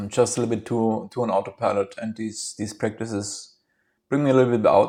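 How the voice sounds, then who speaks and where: A man's fairly low, dark, mellow voice with a German accent, fairly even intonation and a moderate pace, in a very clean recording with a silent background. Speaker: vlogger. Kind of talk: casual monologue. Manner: halting.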